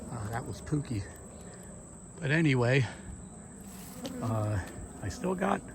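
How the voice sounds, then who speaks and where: A man at a moderate pace. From US, central Pennsylvania. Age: 60s. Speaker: beekeeper. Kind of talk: casual vlog narration. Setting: outdoors. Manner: halting, many fillers.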